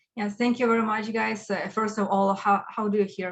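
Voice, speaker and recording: A woman speaks at a fairly quick pace in a Ukrainian accent. Her pitch sits in the medium range. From Ukraine. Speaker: agile coach and speaker. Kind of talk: conference talk.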